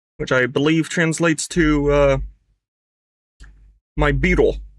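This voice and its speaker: This man's fairly high voice shows ordinary pitch variation. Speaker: gaming streamer. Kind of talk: gameplay commentary. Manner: casual, rambling with fillers.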